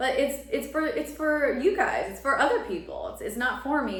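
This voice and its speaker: The speech comes at a moderate pace, with audible echo from the room. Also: woman. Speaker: astrologer and tarot reader. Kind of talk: tarot reading monologue. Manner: casual, filler-heavy.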